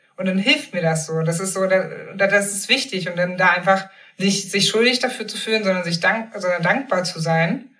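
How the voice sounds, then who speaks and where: A woman with a plain, everyday voice, a moderate pace and ordinary pitch variation. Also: medium pitch for a woman. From eastern Germany, Magdeburg. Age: 30s. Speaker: journalist and author. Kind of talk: casual interview.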